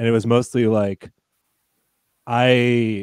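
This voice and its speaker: Recorded with a dry, close sound and no echo, a man with an American accent has an unremarkable speaking voice, medium pitch and fairly even intonation. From United States. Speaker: podcaster. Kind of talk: casual chat.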